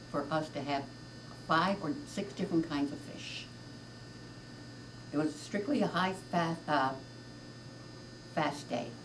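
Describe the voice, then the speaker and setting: Noticeable background noise sits behind a woman with a very deep, low pitch. She speaks at a moderate pace with ordinary pitch variation. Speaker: grandmother. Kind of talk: interview answer.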